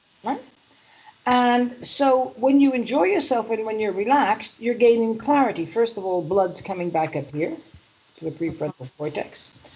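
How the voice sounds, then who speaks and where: In a New York accent, a woman speaks at a moderate pace, her fairly high pitch moving in very wide swings. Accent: New York accent, still there. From US Northeast, Manhattan New York. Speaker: EFT practitioner and mindset coach. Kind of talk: interview.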